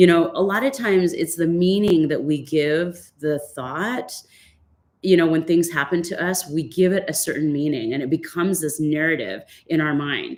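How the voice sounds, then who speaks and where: A woman speaks in an ordinary speaking voice at a fairly low pitch. Her pace is moderate and her pitch variation ordinary. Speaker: fitness instructor and life coach. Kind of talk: online workshop talk. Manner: casual, with many fillers.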